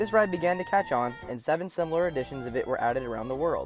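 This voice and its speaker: A man rattles off his words very fast, his pitch swinging very widely, while music plays behind him. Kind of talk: documentary narration.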